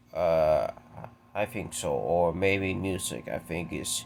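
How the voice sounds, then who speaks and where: A man speaks very slowly while noticeable noise sounds behind him. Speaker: YouTuber. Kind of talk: casual Q&A monologue. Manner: halting.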